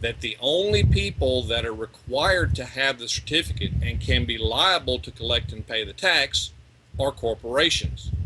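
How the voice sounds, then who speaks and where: A man's medium-pitched voice with an American accent, very wide pitch swings and a moderate pace over noticeable background noise. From East Texas, US. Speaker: legal rights researcher, ex-deputy sheriff. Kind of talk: interview.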